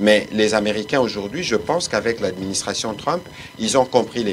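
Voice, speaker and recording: Music plays in the background as a man speaks in a fairly low pitch with ordinary pitch variation. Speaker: government official. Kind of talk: press briefing.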